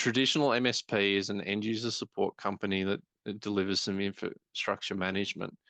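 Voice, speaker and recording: The man has an ordinary speaking voice, fairly low in pitch, moving at a fairly quick pace. The sound is dry and close with no echo, over a quiet background. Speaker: IT business consultant. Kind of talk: webinar presentation. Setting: online webinar.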